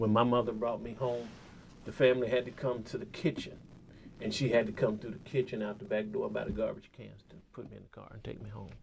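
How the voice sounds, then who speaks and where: Talking with a Kentucky accent, a man goes at a very fast pace with fairly even intonation and big swings in loudness. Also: medium pitch for a man. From US South, western Kentucky. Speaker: photojournalist. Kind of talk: interview.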